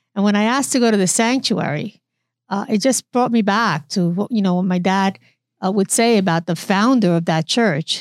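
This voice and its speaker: With an American accent, this woman has an unremarkable speaking voice, medium in pitch, delivered at a moderate pace with very even loudness and ordinary pitch variation over a very clean recording and a silent background. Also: dry, close sound with no echo. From New York, the Bronx. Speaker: physician and health system executive. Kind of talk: interview.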